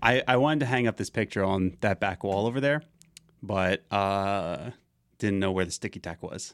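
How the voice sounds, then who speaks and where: Dry and close with no echo, this very clean recording with a silent background has a man speaking at a moderate pace and fairly low pitch with ordinary pitch variation. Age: 20s. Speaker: podcast host. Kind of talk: casual chat. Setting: studio. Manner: loud.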